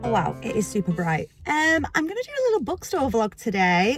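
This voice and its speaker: A woman speaks with a British accent in a fairly high, somewhat breathy voice. Her pace is moderate. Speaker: book vlogger. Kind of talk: casual vlog. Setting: outdoors and in a car. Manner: bubbly and animated.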